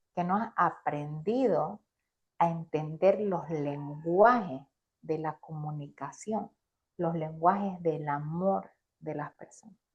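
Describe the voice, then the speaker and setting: Very slowly, a woman speaks at a fairly low pitch in a somewhat breathy voice with ordinary pitch variation. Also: big swings in loudness. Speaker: business coach. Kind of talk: interview. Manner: animated.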